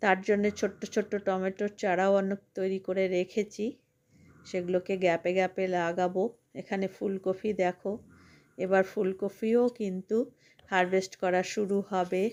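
A woman at a medium pitch speaks with monotone, flat intonation in a very clean recording with a silent background. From rural West Bengal, India (near Farakka, Murshidabad). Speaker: gardening vlogger. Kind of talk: vlog tutorial. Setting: rooftop garden. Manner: warm, chatty.

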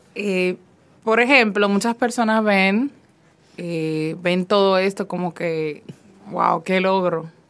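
Long, frequent pauses break up the very slow speech, with faint music in the background. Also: woman, ordinary pitch variation. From Dominican Republic. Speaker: fiction writer; guest. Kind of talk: interview. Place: studio.

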